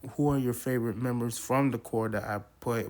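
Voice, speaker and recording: This man's voice sits at a medium pitch. The intonation stays monotone and flat. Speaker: podcast host. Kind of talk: casual commentary.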